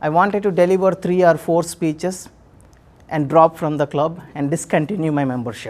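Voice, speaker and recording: A man is speaking. His pace is moderate. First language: not English (third language). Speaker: public speaker. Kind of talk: speech.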